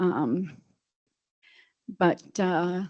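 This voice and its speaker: A woman's fairly low pitch with fairly even intonation. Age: 60s. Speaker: homeless veteran making public comment. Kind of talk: public comment at a meeting. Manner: halting, hesitant with many fillers.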